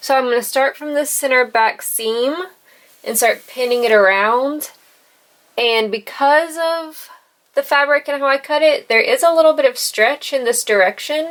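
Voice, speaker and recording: A woman speaks with an American accent at a high pitch. Her pitch variation is ordinary. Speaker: sewing and crafts youtuber. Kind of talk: on-camera sewing tutorial. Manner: slow.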